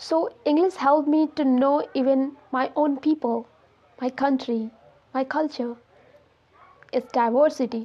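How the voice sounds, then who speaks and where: The woman's pitch is high and her intonation fairly even. Her pace is fairly slow. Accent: Indian. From India. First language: Hindi. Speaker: English learning YouTuber. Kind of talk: casual talk to camera.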